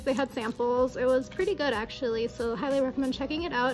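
Faint music plays behind a woman whose high voice moves at a fairly quick pace with fairly even intonation. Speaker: travel vlogger. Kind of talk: casual vlog chat. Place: home room.

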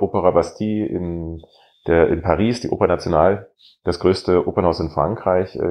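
A man with an unremarkable speaking voice talks at a moderate pace, his pitch varying in an ordinary way. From Saxony-Anhalt, Germany (Bitterfeld-Wolfen). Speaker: opera singer. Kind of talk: casual interview chat.

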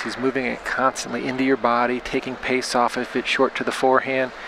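In an excited tone, a man talks at a fairly quick pace with crowd noise in the background. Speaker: play-by-play commentator. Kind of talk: live sports commentary. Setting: live table tennis event commentary. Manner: fast, excited play-by-play calling; clipped, staccato, rapidly calling each shot.

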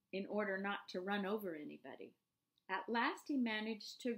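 Intonation holds fairly level throughout. It is a natural reading voice, heard over a quiet background.

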